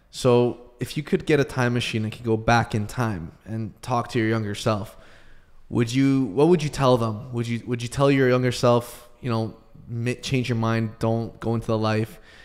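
Against a quiet background, a man with a Canadian accent speaks with fairly even intonation. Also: moderate pace. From Canada. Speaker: podcast co-host. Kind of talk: interview. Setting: video call. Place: studio. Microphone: studio mic.

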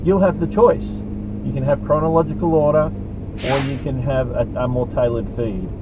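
A man talks at a moderate pace, his voice dry with no echo, while noticeable background noise is heard. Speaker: YouTube creator. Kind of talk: angry rant. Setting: in a car. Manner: heated, indignant. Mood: exasperated, ranting. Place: car. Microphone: phone near.

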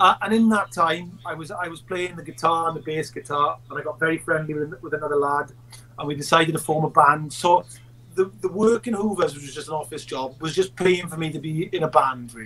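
A man with a South Wales Valleys accent talks at a fairly quick pace in a fairly high pitch, his loudness swinging widely. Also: ordinary pitch variation. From South Wales Valleys, Merthyr Tydfil. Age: 40s. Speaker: actor and filmmaker; actor. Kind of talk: casual chat; interview answer. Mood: relaxed, reminiscing. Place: home room.

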